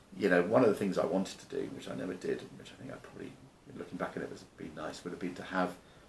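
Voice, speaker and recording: A man talks at a very fast pace with a very deep, low pitch and ordinary pitch variation. His loudness swings widely, and there is audible room echo. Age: 60s. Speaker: business founder and investor. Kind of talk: interview. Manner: halting, many repetitions and fillers.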